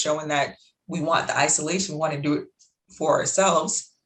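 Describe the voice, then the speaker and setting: Somewhat breathy, a woman's voice moves with ordinary pitch variation. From Jamaica. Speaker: life coach, interviewer. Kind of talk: interview conversation. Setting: video call. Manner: fast.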